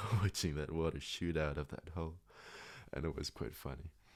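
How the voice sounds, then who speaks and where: Soft-spoken, a man with a very deep, low voice talks in a calm tone with fairly even intonation. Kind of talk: sleep story; casual personal storytelling. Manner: calm, soft-spoken.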